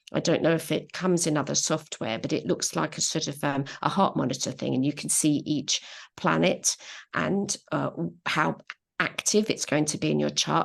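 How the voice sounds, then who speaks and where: The background stays quiet. Words come at a fairly quick pace. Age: 60s. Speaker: astrologer. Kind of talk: panel discussion.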